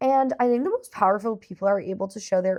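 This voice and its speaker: Over a quiet background, a woman talks at a very fast pace with lively intonation. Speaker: podcast co-host. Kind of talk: casual chat. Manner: loud.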